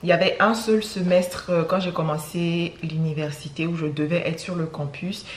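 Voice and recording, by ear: A woman talks at a fairly quick pace in a low voice, with audible room echo.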